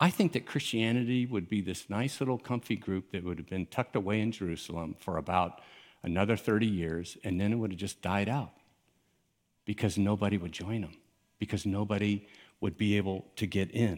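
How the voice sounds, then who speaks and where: Speaking in a normal speaking voice with an American accent, a man with a fairly low pitch moves at a fairly quick pace with ordinary pitch variation, on a very clean recording with a silent background. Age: 60s. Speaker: pastor. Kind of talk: sermon. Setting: church with live audience. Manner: casual.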